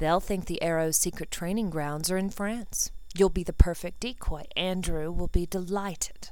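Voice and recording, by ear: Natural-voiced reading aloud, nothing more.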